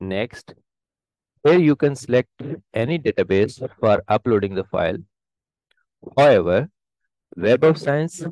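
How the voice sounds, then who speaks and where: A man talks at a fairly slow pace, and the background stays quiet. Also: dry sound with no echo. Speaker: presenter. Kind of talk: tutorial. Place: home room.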